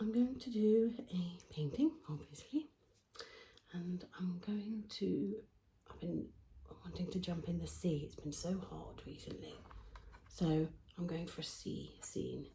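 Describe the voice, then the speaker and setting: Soft-spoken and fairly slow, a woman with a British accent leaves long, frequent pauses, and her loudness swings widely. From England. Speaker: painter. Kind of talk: casual talk to camera.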